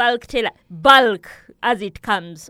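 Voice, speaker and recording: A woman with a Ugandan accent speaks at a fairly slow pace in a bright, sharp tone with ordinary pitch variation. The recording is very clean, with a silent background. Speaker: daycare founder and farmer. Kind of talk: interview conversation. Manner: animated, talkative.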